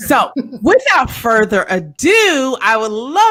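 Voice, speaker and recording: Her voice is fairly high in pitch for a woman. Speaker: cocktail tasting show host. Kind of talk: casual chat. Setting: live video stream.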